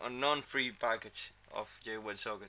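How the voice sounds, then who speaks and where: A man's bright, sharp voice with a non-native accent. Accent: non-native English pronunciation. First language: not English. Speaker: software developer. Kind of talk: tutorial. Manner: halting, many fillers and repeats.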